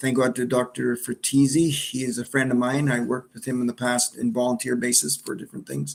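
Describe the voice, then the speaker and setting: A man with an Ontario accent talks at a fairly quick pace. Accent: Canadian English (Ontario). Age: 60s. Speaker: cancer survivor. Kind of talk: personal testimony. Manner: halting, with fillers and repetitions.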